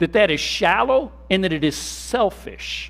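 A man is speaking. His intonation is lively. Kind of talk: sermon, preacher in full flow. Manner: animated, call-and-response, urging the congregation to say amen; repetitive, emphatic, punching key words with rhetorical questions.

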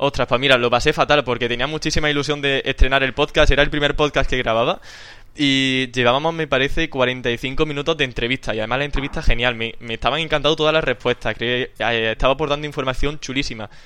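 Talking at a very fast pace, a man has a medium pitch and fairly even intonation. His tone comes across bright and sharp. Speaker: podcast host. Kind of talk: casual chat.

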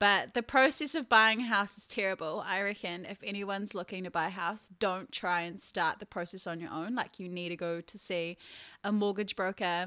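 With a bright, sharp tone and medium pitch, a woman speaks at a moderate pace with big swings in loudness on a very clean recording with a silent background. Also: ordinary pitch variation. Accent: New Zealand. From New Zealand, Taranaki. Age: 20s. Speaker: content creator and team leader. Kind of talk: casual chat. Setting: her new apartment.

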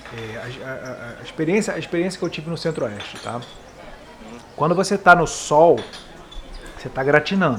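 Amid noticeable background noise and audible room echo, a man with a fairly high pitch talks at a moderate pace with very wide pitch swings, big swings in loudness, and long, frequent pauses. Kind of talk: casual chat, storytelling.

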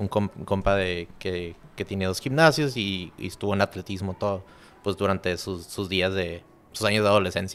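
At a moderate pace, a man speaks in an unremarkable speaking voice with a fairly low pitch. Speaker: podcast host. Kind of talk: casual interview. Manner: casual, slangy.

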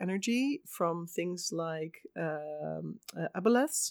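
The recording is very clean, with a silent background and a dry, close sound with no echo. A woman speaks with a Dutch accent and lively intonation. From Netherlands. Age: 30s. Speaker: tabletop game master. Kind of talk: casual chat.

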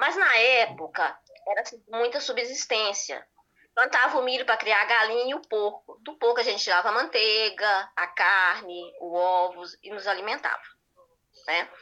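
A woman with a fairly high pitch and a bright, sharp tone speaks at a moderate pace with ordinary pitch variation and big swings in loudness. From rural Goiás, Brazil. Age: 40s. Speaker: viewer calling in. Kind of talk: casual conversation. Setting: video call.

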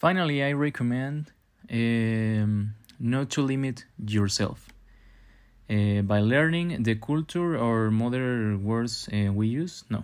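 With a Spanish accent, a man speaks very slowly at a medium pitch, with very even loudness and ordinary pitch variation. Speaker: podcaster. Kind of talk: monologue on a topic, partly read from notes. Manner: halting, with fillers.

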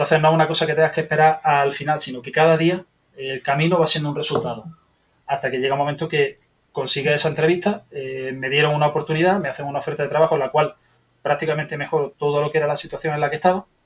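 A man's fairly high voice, monotone and flat, at a very fast pace. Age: 40s. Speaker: software developer, podcast listener. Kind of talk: interview.

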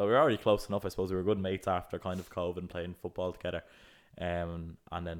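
Speaking at a very fast pace, a man with an Irish accent uses a very deep, low pitch and monotone, flat intonation. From Ireland. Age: 20s. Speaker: podcast co-host, student entrepreneur. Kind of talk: casual chat.

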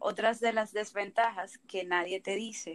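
A woman at a medium pitch, bright and sharp in tone, with a Dominican accent and a fairly slow pace. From Dominican Republic. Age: 20s. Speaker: dental student, podcast co-host. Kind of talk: casual chat.

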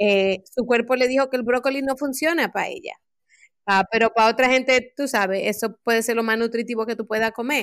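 Recorded very cleanly against a silent background, a woman with a plain, everyday voice speaks at a fairly quick pace and fairly high pitch, her intonation fairly even. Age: 40s. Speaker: life coach and community program strategist. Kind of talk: podcast interview.

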